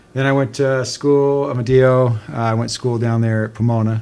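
Against noticeable background noise, a man speaks in an American accent. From US Pacific Northwest. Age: 50s. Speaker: emergency physician. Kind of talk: casual chat.

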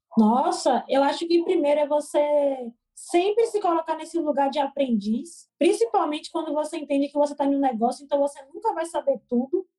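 Her voice high and her tone dark and mellow, a woman speaks with lively intonation. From Brazil, Salvador (Bahia). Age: 20s. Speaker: entrepreneur, education startup founder. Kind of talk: casual interview.

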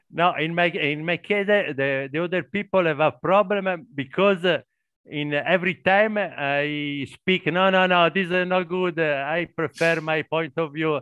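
A man with an Italian accent speaks in a high pitch with a bright, sharp tone. His intonation is fairly even, his pace fairly slow, and the background quiet. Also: dry, close sound with no echo. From Italy. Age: 50s. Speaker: warehouse worker, English learner. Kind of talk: casual group conversation practice. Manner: halting.

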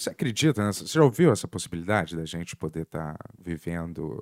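Someone talks at a fairly quick pace in a Rio de Janeiro accent, the sound dry and close with no echo. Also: man. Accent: carioca. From Rio de Janeiro, Brazil (born in Lisbon). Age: 40s. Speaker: podcast host. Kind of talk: casual interview.

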